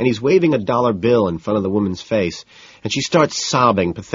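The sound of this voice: An unforced reading voice with lively intonation.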